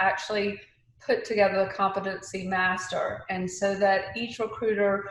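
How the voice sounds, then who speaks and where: A woman with an Atlanta accent talks with fairly even intonation in a room with audible echo. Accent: Southern US (Atlanta). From Atlanta, US South. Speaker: recruiting leader. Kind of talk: panel discussion.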